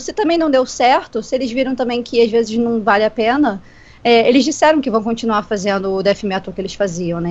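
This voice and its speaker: Speaking at a fairly quick pace, the woman has a fairly high pitch. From Rio de Janeiro, Brazil. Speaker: podcast co-host. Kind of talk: casual chat. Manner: animated.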